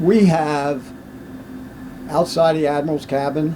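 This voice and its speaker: A man with a fairly high-pitched voice talks over noticeable background noise. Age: 90s. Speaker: WWII navy veteran and museum ship volunteer. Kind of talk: oral history interview.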